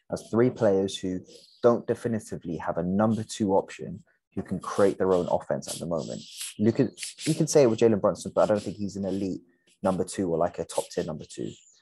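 Talking very fast with lively intonation, a man with a fairly low voice comes through a dry sound with no echo and light background noise. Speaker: podcast co-host. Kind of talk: sports commentary discussion. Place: home room. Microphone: video call.

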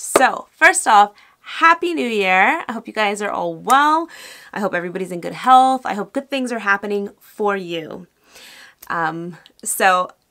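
Against a quiet background, a woman with a bright, sharp tone speaks at a fairly slow pace, with very wide pitch swings and big swings in loudness. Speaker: beauty vlogger. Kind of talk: casual vlog chat. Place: home room.

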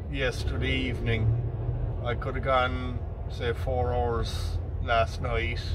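Noticeable background noise accompanies a man who talks at a very slow pace. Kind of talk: casual vlog chat. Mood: mildly frustrated. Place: car. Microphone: phone near.

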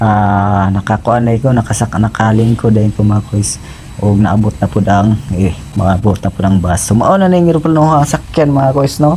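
A man speaks at a moderate pace with lively intonation and a fairly low pitch. His loudness stays very even, and there is noticeable background noise. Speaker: travel vlogger, overseas worker. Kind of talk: travel vlog narration. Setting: airport. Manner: halting.

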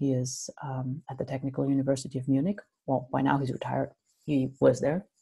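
A woman's very deep, low voice, dark and mellow, at a moderate pace against a quiet background. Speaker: university lecturer. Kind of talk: lecture. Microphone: webcam.

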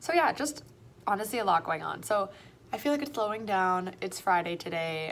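A woman with a Canadian accent talks at a fairly quick pace over light background noise. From Toronto, Canada. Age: 20s. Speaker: primary school French teacher. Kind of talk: casual vlog. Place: classroom. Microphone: phone near.

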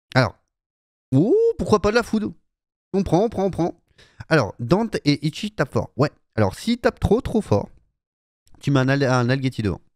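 A man with an enthusiastic tone speaks at a moderate pace in a fairly high pitch, his voice swinging very widely, with long, frequent pauses, a dry sound with no echo and a quiet background. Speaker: gaming YouTuber. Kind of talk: casual live-style gameplay commentary. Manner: casual, chatty, enthusiastic. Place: home room. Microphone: studio mic.

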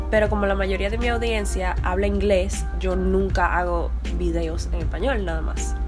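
Over clear background music, a woman with a Dominican accent speaks in a monotone, flat intonation. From Dominican Republic. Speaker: filmmaker, vlogger. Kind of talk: casual talk to camera. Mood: nervous, playful. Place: home room.

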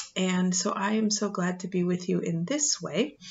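Her pace is fairly slow. The woman's voice sounds somewhat breathy. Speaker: pastor. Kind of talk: gentle bedtime story introduction. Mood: warm, calm. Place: home room. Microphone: webcam.

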